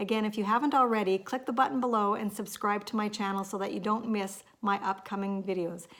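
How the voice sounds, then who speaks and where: A woman's medium-pitched, normal speaking voice at a fairly quick pace. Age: 50s. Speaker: lifestyle vlogger. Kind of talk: casual vlog talk to camera.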